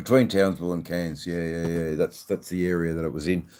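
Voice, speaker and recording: Speaking at a fairly quick pace with a strong Australian accent, a man uses a very deep, low pitch and a dark, mellow tone with fairly even intonation, captured in a very clean recording with a silent background. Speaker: livestreamer, motorcycle rider. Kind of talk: casual live stream chat. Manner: relaxed, chatty.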